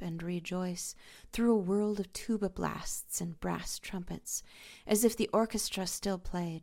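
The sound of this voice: Pitch shifts in an ordinary way as an unforced reading voice goes through the text.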